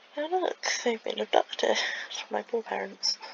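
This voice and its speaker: Noticeable background noise is present. The speech moves very slowly. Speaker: gaming content creator. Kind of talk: casual gameplay commentary. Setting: no proper mic, background noise.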